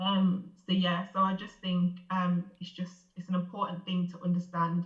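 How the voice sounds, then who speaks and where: In a somewhat breathy voice, a woman talks at a moderate pace with medium pitch, monotone, flat intonation, and big swings in loudness. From Birmingham, England. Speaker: radio production coordinator and former actor and model. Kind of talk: podcast interview. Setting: video call. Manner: articulate, carefully structured speech.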